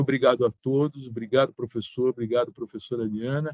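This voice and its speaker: A man speaks at a fairly quick pace with a medium pitch and fairly even intonation, in a dry, close sound with no echo. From Brazil, São Paulo. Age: 60s. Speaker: sanitation engineer. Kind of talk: online seminar remarks.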